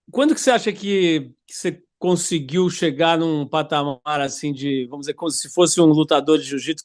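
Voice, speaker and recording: A man's ordinary speaking voice at a fairly high pitch and moderate pace, with ordinary pitch variation, big swings in loudness and hardly any pauses. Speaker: interviewer, radio and TV host. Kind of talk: interview question.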